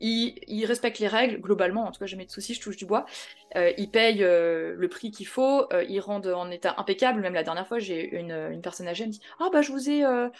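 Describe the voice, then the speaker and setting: A woman with a plain, everyday voice talks at a fairly quick pace and medium pitch, with ordinary pitch variation and big swings in loudness. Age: 30s. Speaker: real estate investor and trainer. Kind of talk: casual interview.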